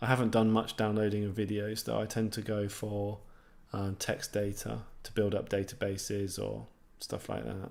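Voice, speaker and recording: In a southeast English accent, a man with a fairly low pitch talks at a moderate pace in a monotone, flat intonation. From southeast England, near London. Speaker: programming YouTuber. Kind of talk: live stream Q&A. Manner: casual, many fillers and restarts.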